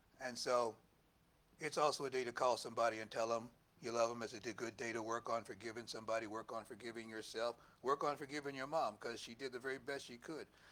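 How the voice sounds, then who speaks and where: The speech runs at a very fast pace with fairly even intonation. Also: man, medium pitch for a man. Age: 70s. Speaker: minister. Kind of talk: sermon. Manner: loud; conversational, halting asides.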